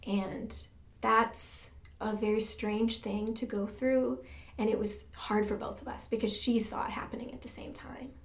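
A woman with an American accent speaks at a fairly slow pace in a fairly high pitch, with fairly even intonation. Her loudness swings widely, and audible room echo surrounds her. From Michigan, US Midwest. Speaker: church music director. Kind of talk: testimony.

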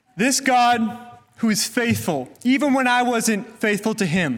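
A man with an American accent, fairly slow pace and ordinary pitch variation. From US, California Central Valley. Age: 20s. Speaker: church intern. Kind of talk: testimony. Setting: church.

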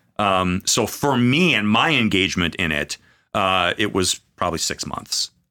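In an American accent, a man speaks at a moderate pace with lively intonation and a bright, sharp tone, recorded very cleanly against a silent background with a dry, close sound and no echo. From Minnesota, US Upper Midwest. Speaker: pastor. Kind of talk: casual chat. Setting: studio.

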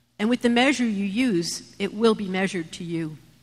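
Fairly slow, somewhat breathy speech from a woman. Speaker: scripture reader in church. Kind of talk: reading aloud. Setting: church.

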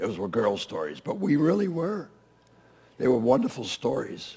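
Against noticeable background noise, a man speaks at a moderate pace with lively intonation. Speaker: preacher. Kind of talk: sermon.

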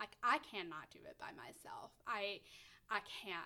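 A woman speaks at a fairly slow pace with a Tennessee accent. Her tone is bright and sharp. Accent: Southern American (Tennessee). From US South, Middle Tennessee. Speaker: foster parent. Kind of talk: interview.

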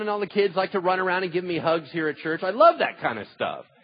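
Here a man talks at a very fast pace with a high pitch. Noticeable background noise is present. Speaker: pastor. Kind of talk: sermon. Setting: church.

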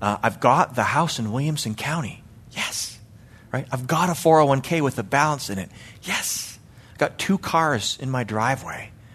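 An ordinary speaking voice with a Canadian accent moves at a moderate pace with lively intonation against a quiet background. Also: man. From Canada, Calgary, Alberta. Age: 40s. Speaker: lay preacher and church elder. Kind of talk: sermon. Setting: church.

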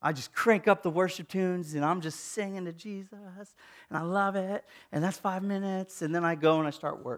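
Speaking at a fairly quick pace, a man uses a high pitch and fairly even intonation. Everything is captured in a very clean recording with a silent background. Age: 30s. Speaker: pastor. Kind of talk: sermon.

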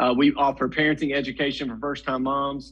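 A man with a Tennessee accent speaks at a moderate pace in a fairly high pitch. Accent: Southern US (Tennessee). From Middle Tennessee, US South. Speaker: pregnancy center executive director. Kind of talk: interview.

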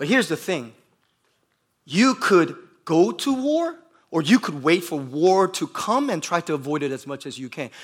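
An animated man with an American accent speaks at a high pitch and moderate pace, with very wide pitch swings. His loudness swings a lot, and he takes long, frequent pauses. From US Midwest, Bloomington, Indiana. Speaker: pastor. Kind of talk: sermon. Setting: church. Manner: code-switching between Korean and English.

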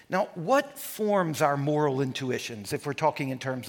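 Lively intonation marks this man's unremarkable speaking voice, pitched fairly high and delivered at a moderate pace. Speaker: lecturer and pastor. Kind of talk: lecture. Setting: live talk with audience, recorded for online.

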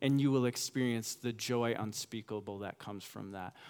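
A man's unremarkable speaking voice, with ordinary pitch variation and a moderate pace. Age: 30s. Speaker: pastor. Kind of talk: sermon. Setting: church.

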